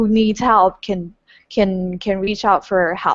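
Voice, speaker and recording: A woman's medium-pitched voice in a Taiwanese accent, with fairly even intonation and a fairly slow pace. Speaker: webinar moderator. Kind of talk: interview moderation.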